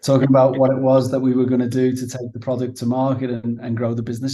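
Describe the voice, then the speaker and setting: A man with a Liverpool accent speaks in a dark, mellow, somewhat breathy voice. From northern England, Liverpool. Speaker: managing director at a software company. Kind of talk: business interview. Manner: halting, many fillers and repeats.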